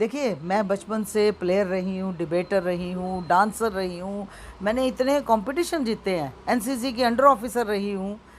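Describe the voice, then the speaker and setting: Over noticeable background noise, a woman talks with hardly any pauses and ordinary pitch variation. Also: medium pitch for a woman. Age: 70s. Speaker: school founder and social activist. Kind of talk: interview.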